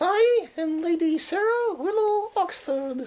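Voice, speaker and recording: A female-sounding, put-on character voice pitched extremely high. It moves at a fairly slow pace. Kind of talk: pompous, affected.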